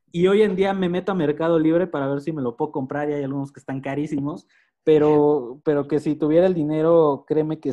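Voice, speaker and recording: In a normal speaking voice, a man talks at a fairly quick pace with hardly any pauses, fairly even intonation, big swings in loudness and a fairly high pitch. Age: 30s. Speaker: podcast co-host. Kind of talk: casual chat.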